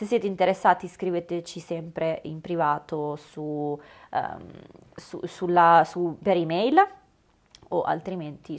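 Very slow speech from a woman, marked by long, frequent pauses and big swings in loudness. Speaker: podcast host and obstacle racing athlete and coach. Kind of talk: solo podcast monologue. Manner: animated.

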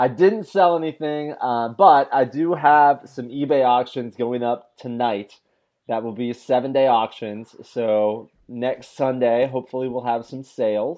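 A man speaks at a fairly slow pace with a medium pitch and ordinary pitch variation. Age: 30s. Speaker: podcast co-host, real estate investor. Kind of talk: casual chat. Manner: halting, many fillers and repeated words.

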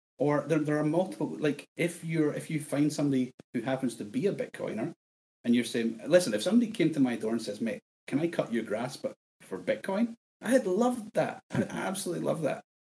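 A man talks at a very fast pace in a strong Scottish accent, his pitch fairly high. His voice is somewhat breathy and swings very widely in pitch. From Scotland. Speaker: bitcoin podcaster guest. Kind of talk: casual interview chat.

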